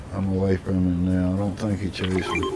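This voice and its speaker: A man talks in a very deep, low pitch. Noticeable background noise runs under his voice. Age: 60s. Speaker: gaming streamer. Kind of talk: casual chat.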